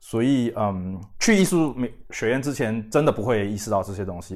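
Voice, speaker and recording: A man talks at a medium pitch, varying it in an ordinary way. The recording is very clean, and the background is silent. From Singapore. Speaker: independent magazine editor and publisher. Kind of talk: casual interview chat. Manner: halting, many fillers and repetitions.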